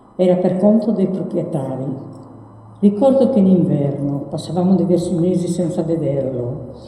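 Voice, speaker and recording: With noticeable background noise and audible room echo, a woman speaks at a moderate pace, her fairly low pitch showing ordinary pitch variation. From Sardinia, Orgosolo (Barbagia). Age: 80s. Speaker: elderly storyteller sharing life memories. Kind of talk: personal testimony read aloud.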